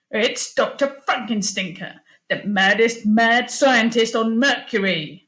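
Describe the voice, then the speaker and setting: Using a put-on character voice, a woman speaks at a fairly slow pace and a fairly high pitch. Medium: read story.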